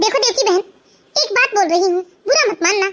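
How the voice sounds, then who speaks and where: A squeaky, cartoonish character voice at an extremely high pitch, talking at a fairly quick pace. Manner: calm, advising.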